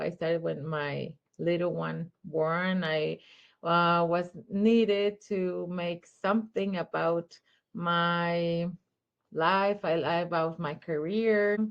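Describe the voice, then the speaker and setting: Speaking with a Spanish accent, a woman talks at a very slow pace. Her pitch is fairly low and her intonation fairly even. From Mexico. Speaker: children's photographer. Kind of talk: interview. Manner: halting.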